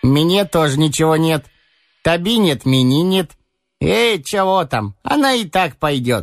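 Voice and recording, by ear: A fairly high-pitched put-on character voice from a man, with vocal fry, big pitch swings, a fairly slow pace and faint music in the background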